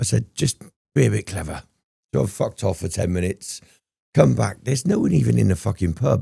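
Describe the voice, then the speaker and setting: Delivered at a very fast pace yet with long, frequent pauses, the voice has a dark, mellow tone, vocal fry and very wide pitch swings. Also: man, very deep, low pitch for a man. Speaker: former prisoner. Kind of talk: casual interview storytelling. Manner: animated.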